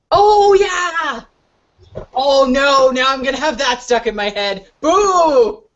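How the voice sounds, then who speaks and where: Loud and at a very slow pace, a woman speaks at a high pitch with very wide pitch swings. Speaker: online craft hangout host. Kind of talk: casual chat. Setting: webcam video hangout. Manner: loud, projected theater voice. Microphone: laptop webcam about two feet from mouth.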